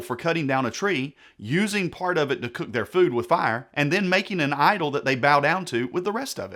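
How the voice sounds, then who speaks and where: On a very clean recording with a silent background, a man speaks at a high pitch and fairly quick pace with lively intonation. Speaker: pastor and Bible teacher. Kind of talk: sermon-style Bible teaching talk to camera. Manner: sarcastic, explanatory.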